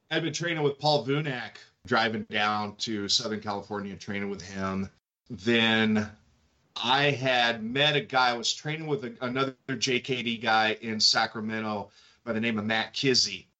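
Medium in pitch, a man talks in a plain, everyday voice with an American accent. His pace is moderate and his pitch variation ordinary. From Kentucky, US South. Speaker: martial arts instructor and fitness coach. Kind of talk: casual chat.

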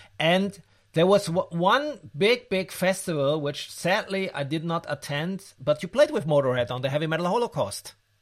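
Lively intonation colors the high-pitched voice of a man. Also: moderate pace. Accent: German. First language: German. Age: 50s. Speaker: podcast host. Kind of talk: interview; scripted narration.

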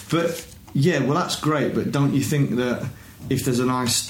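In a Yorkshire accent, a man talks at a moderate pace with ordinary pitch variation. There's audible room echo and noticeable background noise. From northern England (Huddersfield, West Yorkshire). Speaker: football fan guest. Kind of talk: casual chat.

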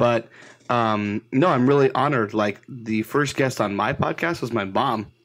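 The recording is very clean, with a silent background. A man with a plain, everyday voice talks at medium pitch and a moderate pace, with ordinary pitch variation. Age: 30s. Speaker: podcaster. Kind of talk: casual chat.

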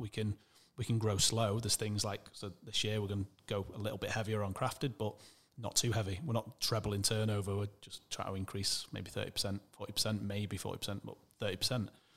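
A man with a Mancunian accent speaks in a fairly low, monotone, flat voice. His pace is fairly quick. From Manchester, England. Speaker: e-commerce entrepreneur. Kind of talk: interview conversation.

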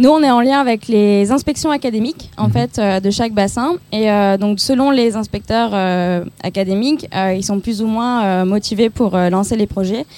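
Her fairly high voice carries a dark, mellow tone as the woman speaks at a fairly slow pace with hardly any pauses. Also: ordinary pitch variation. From southeastern France. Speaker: nonprofit employee. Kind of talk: interview. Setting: outdoors.

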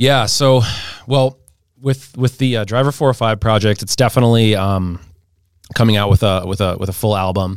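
A man with an American accent speaks at a moderate pace, fairly low in pitch with ordinary pitch variation. He has a plain, everyday voice, and the recording is very clean with a silent background. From St. Louis, Missouri. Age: 30s. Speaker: marketing strategist and DJ. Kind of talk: casual interview.

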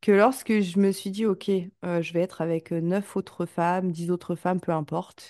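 A woman with a dark, mellow tone and fairly even intonation talks at a fairly slow pace with hardly any pauses, the sound dry and close with no echo. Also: medium pitch for a woman, quiet background. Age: 30s. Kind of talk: casual interview chat. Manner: hesitant, many fillers.

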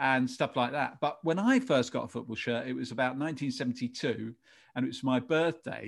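Recorded very cleanly with a silent background, a man talks at a fairly quick pace in a medium pitch with ordinary pitch variation. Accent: English. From England. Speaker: advertising director and podcast host. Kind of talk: casual interview chat.

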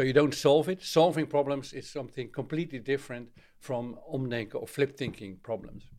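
Fairly quick speech in a Dutch accent, with big swings in loudness and ordinary pitch variation. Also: man, fairly high pitch for a man. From Netherlands. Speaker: author and trainer. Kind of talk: interview. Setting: remote call. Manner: halting.

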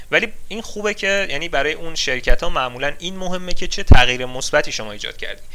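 Very fast and with hardly any pauses, a high-pitched man speaks with big swings in loudness. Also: lively intonation. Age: 20s. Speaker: software engineer. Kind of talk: interview. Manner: halting.

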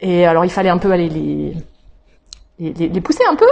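A woman talks at a medium pitch with ordinary pitch variation. Noticeable background noise runs behind her. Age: 40s. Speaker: pastor. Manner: halting.

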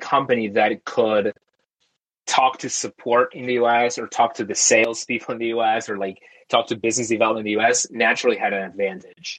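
A man's medium-pitched voice with a Spanish accent, at a fairly quick pace. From Argentina, outskirts of Buenos Aires. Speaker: tech company founder. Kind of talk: interview.

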